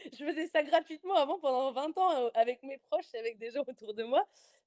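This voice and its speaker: With a dark, mellow tone and high pitch, a woman talks at a fairly quick pace with lively intonation and big swings in loudness, recorded dry and close with no echo. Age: 20s. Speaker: life coach and podcaster. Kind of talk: podcast interview. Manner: talkative, hesitant with many fillers.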